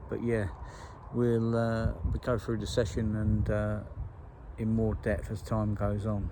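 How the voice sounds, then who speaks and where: Pausing long and often, a man with a fairly low pitch and ordinary pitch variation speaks at a fairly slow pace in a room with audible echo. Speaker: carp angler vlogger. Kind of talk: casual vlog talk to camera. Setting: outdoors by a lake. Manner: hesitant, many fillers.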